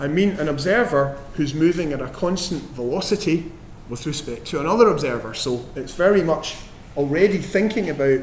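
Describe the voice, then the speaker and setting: Over noticeable background noise and audible room echo, a man with a fairly high pitch talks at a fairly quick pace with lively intonation. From Scotland. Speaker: professor giving physics lectures. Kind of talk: lecture. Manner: frequent ums and hesitations.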